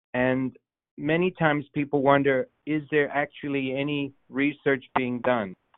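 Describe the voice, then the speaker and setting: A man speaks at a fairly high pitch in a plain, everyday voice. His pace is fairly slow and his intonation fairly even. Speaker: low vision doctor, moderator. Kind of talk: town hall moderation. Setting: phone call.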